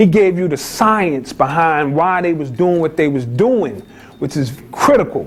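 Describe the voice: In a Bronx accent, a man talks with a high pitch. His intonation is lively. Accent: New York, Bronx.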